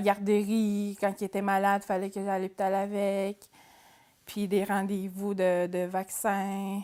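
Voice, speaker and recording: Recorded very cleanly with a silent background, a woman at medium pitch speaks fairly slowly in a monotone, flat intonation. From Atikamekw community, central Quebec. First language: Atikamekw (speaking French). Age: 20s. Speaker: adult education student. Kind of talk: personal testimony interview. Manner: hesitant, with fillers and repetitions.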